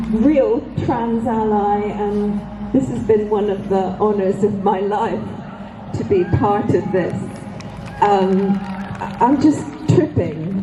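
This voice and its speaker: A woman's medium-pitched voice at a very slow pace, with audible room echo and music in the background. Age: 60s. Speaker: rally speaker, feminist activist. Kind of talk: rally speech.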